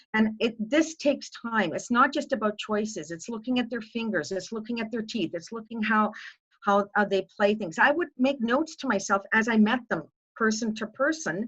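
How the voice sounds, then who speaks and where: A woman speaks in a plain, everyday voice with a fairly high pitch. She keeps a moderate pace and ordinary pitch variation. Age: 60s. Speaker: music educator. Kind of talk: panel discussion.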